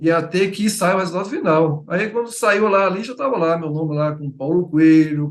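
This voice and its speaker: This man has a Bahian accent and a high pitch. His pitch varies in an ordinary way. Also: moderate pace. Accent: Bahian, Feira de Santana. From Bahia, Brazil (Feira de Santana). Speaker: writer. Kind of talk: interview. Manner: halting.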